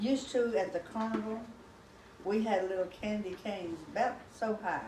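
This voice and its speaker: The woman talks at a fairly slow pace. Noticeable background noise and audible room echo fill the recording. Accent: Texan. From Texas, Commerce. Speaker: grandmother telling family history. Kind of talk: oral history storytelling.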